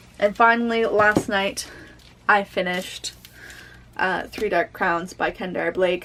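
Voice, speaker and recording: Fairly even in intonation and moderate in pace, a woman talks at a medium pitch in a plain, everyday voice. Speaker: booktuber. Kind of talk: casual book review vlog.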